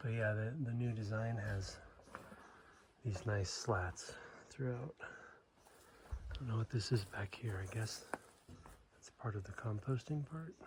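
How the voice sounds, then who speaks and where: Speaking at a very slow pace with long, frequent pauses, a man uses a somewhat breathy, medium-pitched voice with ordinary pitch variation. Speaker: hiker vlogger. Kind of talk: casual vlog narration. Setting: outdoors.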